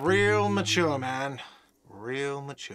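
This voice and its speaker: A man shouts in a put-on, whiny character voice at a medium pitch. His pitch varies in an ordinary way. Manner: shouting, sarcastic.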